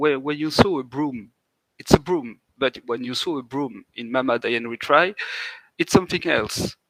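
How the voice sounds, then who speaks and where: The voice moves at a fairly slow pace with ordinary pitch variation and big swings in loudness, recorded with a dry, close sound with no echo. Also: man. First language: French. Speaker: indie game developer. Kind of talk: interview. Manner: halting; animated.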